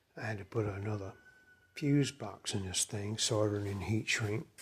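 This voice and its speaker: A man talks with a somewhat breathy voice. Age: 60s. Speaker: motorcycle hobbyist mechanic. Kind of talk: casual show-and-tell video. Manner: halting, with fillers.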